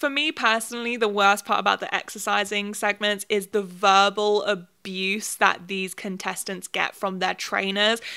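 With a British accent, a woman talks at a moderate pace in a fairly high, bright and sharp voice, hardly pausing, against a quiet background. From UK. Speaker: YouTuber. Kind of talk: video commentary essay. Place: home room. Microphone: handheld.

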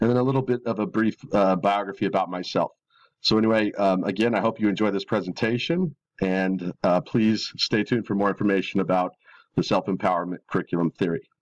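Fairly low in pitch, a man speaks very fast with fairly even intonation. The background is quiet and the sound dry and close, with no echo. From Mexican-American community, US. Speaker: middle school teacher and graduate student. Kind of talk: recorded class presentation. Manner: halting, many fillers.

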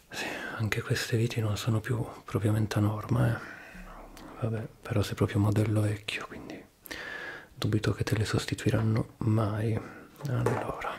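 A man speaks in a monotone, with flat intonation and a fairly low pitch. Long, frequent pauses break up his speech over light background noise. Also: moderate pace. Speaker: ASMR creator playing a repair technician. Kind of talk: soft-spoken role-play. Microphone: studio mic.

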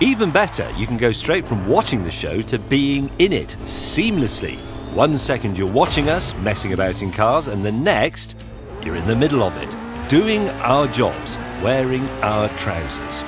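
Moderately paced male speech over background music. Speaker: TV presenter. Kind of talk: game trailer narration.

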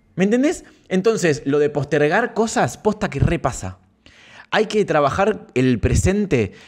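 A man with an Argentine accent, high-pitched for a man, with very wide pitch swings, a fairly slow pace and long, frequent pauses. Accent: Argentine Spanish (rioplatense voseo). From Santa Fe province, Argentina. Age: 30s. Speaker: streamer. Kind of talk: casual live stream chat. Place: home room. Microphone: studio mic.

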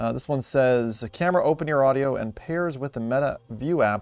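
At a moderate pace, a man speaks in a dry sound with no echo, with faint music in the background. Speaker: tech reviewer. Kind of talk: casual unboxing commentary. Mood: upbeat, curious. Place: home room. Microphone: phone near.

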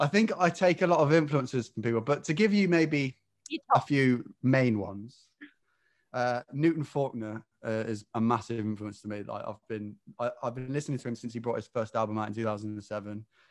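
Against a quiet background, a man with an English Midlands accent talks at a moderate pace with lively intonation. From English Midlands (near Rugby). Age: 20s. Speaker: singer-songwriter; guest. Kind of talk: casual interview; interview answer. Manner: hesitant, many fillers. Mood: relaxed, friendly. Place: home room. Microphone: video call.

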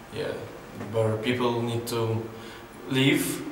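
This man talks at a fairly slow pace in a medium pitch with monotone, flat intonation. Light background noise and audible room echo sit behind him. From southern Ukraine, Mykolaiv. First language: Ukrainian or Russian. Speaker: photographer. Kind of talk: interview monologue. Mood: calm, reflective. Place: hall.

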